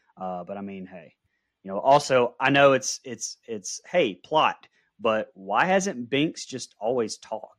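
A man speaks in a normal speaking voice at a medium pitch, his intonation lively and his loudness swinging widely, on a very clean, dry, close recording with no echo and a silent background. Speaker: podcast co-host. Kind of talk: casual movie review chat.

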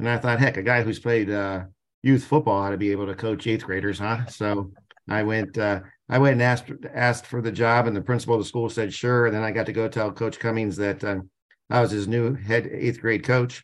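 Against a quiet background, a man with an American accent speaks at a fairly quick pace, his medium pitch held in fairly even intonation. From Canton, Ohio, US Midwest. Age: 50s. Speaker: sports museum president. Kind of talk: interview.

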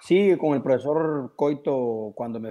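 With a quiet background, a man speaks at a fairly slow pace. His tone is dark and mellow. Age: 30s. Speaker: professional footballer. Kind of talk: radio interview.

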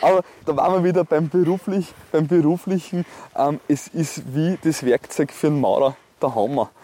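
In a dry, close sound with no echo, a man with a fairly high pitch and a dark, mellow tone speaks at very even loudness, with ordinary pitch variation. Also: moderate pace. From Austria, Salzburg (Neumarkt am Wallersee). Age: 30s. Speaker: politician. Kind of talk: interview. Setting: outdoors, walk by a lake.

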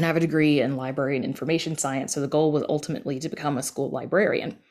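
Speaking at a very fast pace with a Southern US accent, a woman uses a very deep, low pitch and fairly even intonation on a very clean recording with a silent background. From US South. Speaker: audio drama podcast creator. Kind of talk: casual interview.

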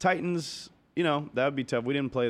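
This man has a plain, everyday voice and an American accent. He talks at a fairly quick pace with ordinary pitch variation. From US Midwest, Cincinnati, Ohio. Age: 30s. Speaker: stand-up comedian. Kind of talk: casual chat.

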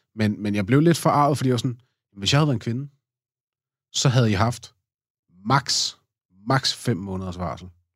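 With long, frequent pauses, a man speaks at a moderate pace and medium pitch, his pitch varying in an ordinary way on a very clean recording with a silent background. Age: 30s. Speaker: podcast guest, father. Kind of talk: casual interview. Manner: halting, many fillers.

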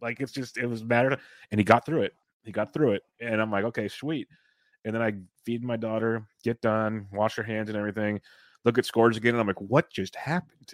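A normal speaking voice moves at a fairly quick pace with fairly even intonation. The recording is very clean and dry, close with no echo and a silent background. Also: man, medium pitch for a man. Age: 30s. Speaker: fantasy baseball podcast host. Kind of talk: casual chat.

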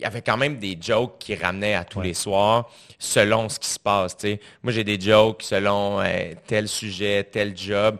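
Over a quiet background, a man with a Quebec accent speaks at a moderate pace in a fairly low pitch. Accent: Québécois French. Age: 20s. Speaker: comedian and podcast host. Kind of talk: casual interview chat. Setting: studio.

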